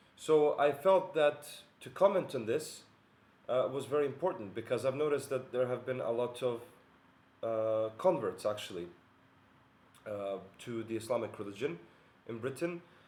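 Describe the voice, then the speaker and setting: Pausing long and often, a man with a Bosnian accent speaks at a moderate pace and medium pitch with lively intonation. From Bosnia and Herzegovina. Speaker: philosopher and video essayist. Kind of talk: monologue video essay. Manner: hesitant, many fillers.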